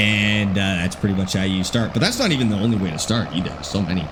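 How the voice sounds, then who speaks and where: Speaking at a fairly quick pace with a slight Albertan accent, the voice comes through audible room echo and noticeable background noise. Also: man. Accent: very mild Canadian (Alberta). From Alberta, Canada. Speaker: gaming streamer. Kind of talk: live stream chat.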